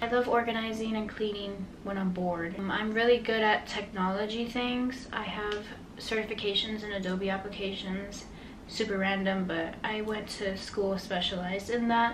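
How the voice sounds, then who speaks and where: Speaking in a medium-pitched, monotone, flat voice with an American accent, a woman keeps a moderate pace. Audible room echo and noticeable background noise fill the recording. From Miami, Florida. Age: 20s. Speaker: podcast host. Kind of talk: casual podcast monologue.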